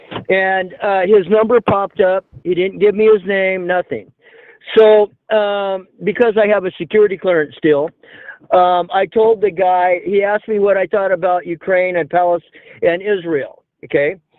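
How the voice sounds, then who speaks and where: A man's high-pitched voice with an American accent and fairly even intonation. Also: moderate pace. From California. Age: 60s. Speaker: caller, military veteran. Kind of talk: phone-in talk. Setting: phone call. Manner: halting.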